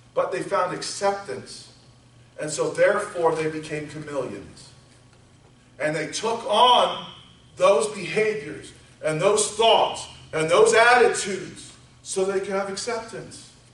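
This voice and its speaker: A man with a high pitch and ordinary pitch variation speaks with long, frequent pauses, amid audible room echo and noticeable background noise. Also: fairly slow pace. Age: 40s. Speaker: pastor. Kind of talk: sermon.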